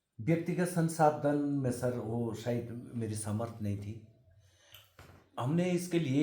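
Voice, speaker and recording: This man has a dark, mellow, somewhat breathy voice at medium pitch. He uses ordinary pitch variation, and audible room echo surrounds him. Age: 60s. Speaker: folk art practitioner. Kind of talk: interview.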